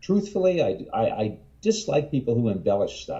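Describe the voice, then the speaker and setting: A man's dark, mellow tone unfolds at a middling pace. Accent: American. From New Jersey. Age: 60s. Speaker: herpetologist and author. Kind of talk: interview. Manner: halting.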